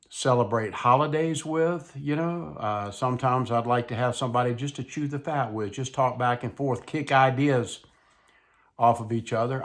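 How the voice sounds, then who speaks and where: With a Mississippi accent, a man talks in a relaxed tone at a fairly slow pace and medium pitch, with ordinary pitch variation, on a very clean recording with a silent background. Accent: Southern US (Mississippi). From US South, South Mississippi. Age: 70s. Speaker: YouTuber, retired widower vlogger. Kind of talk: casual monologue vlog. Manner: relaxed, slow conversational.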